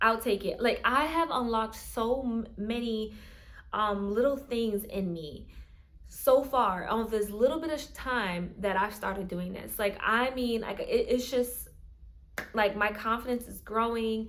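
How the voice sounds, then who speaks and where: A woman speaks in a fairly high voice at a fairly slow pace. Audible room echo surrounds her. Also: ordinary pitch variation. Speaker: content creator. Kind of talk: casual vlog monologue. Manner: halting, many fillers and restarts; speech difficulties.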